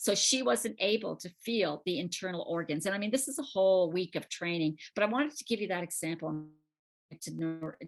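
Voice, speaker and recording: This woman has an ordinary speaking voice with a fairly low pitch. Her pace is moderate. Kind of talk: lecture.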